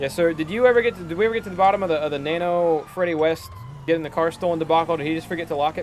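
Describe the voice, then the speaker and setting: Over noticeable background noise, a man with a high pitch and ordinary pitch variation talks at a very fast pace. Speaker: streamer playing a police chief in roleplay. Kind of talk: game roleplay chat. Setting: live stream.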